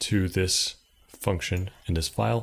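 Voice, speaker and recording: A man at a fairly low pitch, somewhat breathy, with ordinary pitch variation and a moderate pace, in a very clean recording with a silent background. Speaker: programming tutorial creator. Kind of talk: tutorial.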